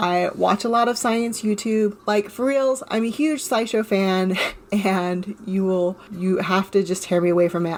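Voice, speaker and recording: Against noticeable background noise, a woman with a Californian accent speaks at a fairly slow pace. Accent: California drawl. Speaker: podcast host. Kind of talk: podcast monologue. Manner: rambling.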